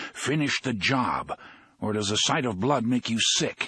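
In a put-on character voice, a man growls at a moderate pace and medium pitch, recorded dry and close with no echo. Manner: curt, commanding, growling.

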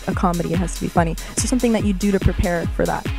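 Over clear music in the background, a woman speaks at a very fast pace in an upbeat tone, the sound dry with no echo. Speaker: radio and TV host. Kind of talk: celebrity interview questions. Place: hall. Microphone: handheld.

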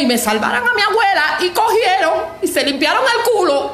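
There is audible room echo around the voice. A woman speaks at a moderate pace. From Cuba. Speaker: Cuban woman denouncing her grandmother's death. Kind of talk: social media video rant. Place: home room. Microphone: phone near.

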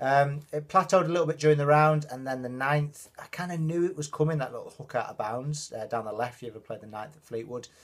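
Somewhat breathy and with big swings in loudness, a man talks at a very fast pace with hardly any pauses and ordinary pitch variation. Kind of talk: casual vlog chat. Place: home room. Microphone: phone near.

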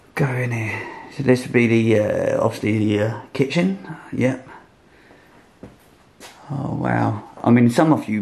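Speaking at a fairly slow pace with long, frequent pauses, a man uses ordinary pitch variation. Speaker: urban explorer vlogger. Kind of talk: casual vlog chat. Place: hall. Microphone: phone near.

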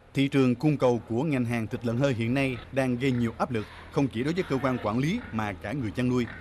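A man at a medium pitch with ordinary pitch variation, a fairly quick pace, and noticeable background noise. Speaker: news narrator. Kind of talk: news reading. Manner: formal.

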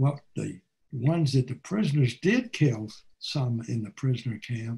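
A somewhat breathy man with an American accent, medium pitch, ordinary pitch variation and a fairly slow pace. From United States. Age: 80s+. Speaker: war veteran. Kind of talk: talk presentation over video call. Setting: video call. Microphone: webcam.

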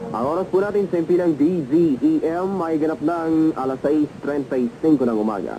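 Light background noise is present. A man's pitch varies in an ordinary way as he speaks at a fairly quick pace. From Philippines. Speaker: radio announcer. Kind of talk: radio broadcast announcement / station ID. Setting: vintage AM radio recording, 1970s. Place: studio. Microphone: old recording.

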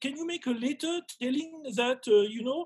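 A man speaks at a moderate pace with a French accent and lively intonation. His pitch is extremely high, and the background is quiet. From rural France. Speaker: gemologist and webinar host. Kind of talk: casual interview. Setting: video call. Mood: wry, amused complaint. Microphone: video call.

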